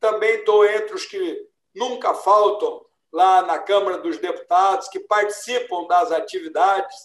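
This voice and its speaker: A man with a high-pitched voice talks fairly slowly, his pitch varying in an ordinary way. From Brazil, São Paulo state (Ribeirão Preto, then São Paulo city). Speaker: retired army general and federal deputy. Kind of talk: interview.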